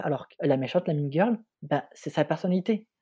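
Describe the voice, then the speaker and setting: A man with a fairly high pitch talks at a fairly quick pace in an ordinary speaking voice. The recording sounds dry and close, with no echo. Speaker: film student and podcast co-host. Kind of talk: casual chat.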